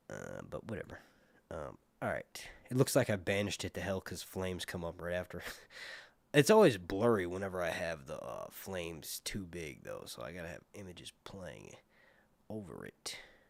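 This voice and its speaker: A man with an American accent speaks at a moderate pace in a very deep, low pitch with vocal fry and ordinary pitch variation. His loudness swings a lot, on a very clean recording with a silent background. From US Northeast, Philadelphia. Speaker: TV show reviewer, streamer. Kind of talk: casual live stream chat. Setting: live stream.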